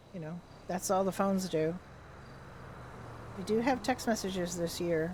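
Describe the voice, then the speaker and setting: A woman of medium pitch, somewhat breathy, in a relaxed tone. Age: 60s. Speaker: livestreamer, roleplay gamer. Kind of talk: casual chat. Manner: relaxed, chatty.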